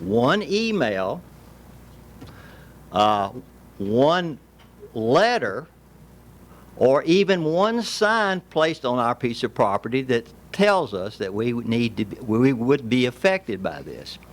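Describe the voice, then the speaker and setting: A man with a Tennessee accent at medium pitch, very slow pace, very wide pitch swings and long, frequent pauses. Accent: Southern US (Tennessee). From Tennessee, Williamson County. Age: 70s. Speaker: landowner, public commenter. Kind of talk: public comment speech.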